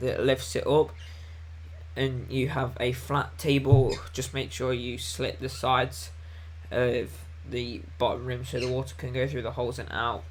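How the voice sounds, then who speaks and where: Amid audible room echo, a man at medium pitch speaks at a moderate pace with vocal fry and very wide pitch swings. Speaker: gardening youtuber. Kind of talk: live stream Q&A chat. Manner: casual, hesitant with many ums.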